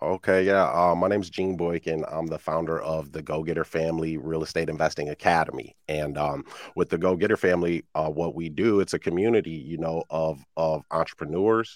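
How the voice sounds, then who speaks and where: A man with an American accent talks at a fairly quick pace with hardly any pauses. His pitch is very deep and low. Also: dry, close sound with no echo, very clean recording, silent background. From Iowa, US Midwest. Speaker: real estate investor and coach. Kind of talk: interview. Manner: casual, animated.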